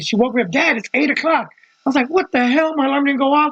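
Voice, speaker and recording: A man's animated tone, lively intonation and very fast pace. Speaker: podcaster. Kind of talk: casual monologue.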